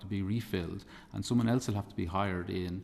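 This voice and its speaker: A man with an Irish accent at a fairly quick pace. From Republic of Ireland. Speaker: campaigner and parent giving evidence. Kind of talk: committee evidence testimony. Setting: parliamentary committee hearing. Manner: halting, many repetitions.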